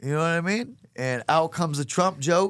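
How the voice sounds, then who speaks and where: Over a very clean recording with a silent background, a man with a Louisiana accent talks at a moderate pace in an animated tone with lively intonation. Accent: Southern US (Louisiana). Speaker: stand-up comedian. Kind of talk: podcast interview storytelling. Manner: animated, comedic.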